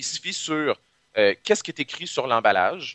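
This voice has a Quebec accent and some vocal fry. It moves at a moderate pace. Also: man. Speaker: pharmacist, science communicator. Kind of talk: casual interview chat.

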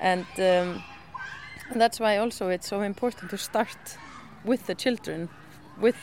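In an Icelandic accent, the speaker talks at a fairly slow pace with fairly even intonation. Noticeable background noise is present. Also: woman. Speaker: school communications officer. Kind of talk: guided tour explanation. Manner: halting.

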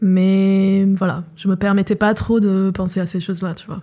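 At a fairly slow pace, a woman talks in a dark, mellow tone of medium pitch. The recording is very clean, with a silent background. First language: not French (speaking French). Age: 20s. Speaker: filmmaker and writer. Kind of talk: personal testimony. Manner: hesitant, many fillers.

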